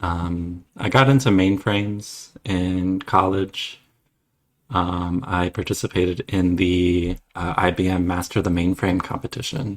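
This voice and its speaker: A man speaks with a Midwestern accent in a very deep, low pitch. The recording is very clean, with a silent background. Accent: American Midwestern. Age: 30s. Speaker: former software developer. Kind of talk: interview. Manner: halting, many fillers.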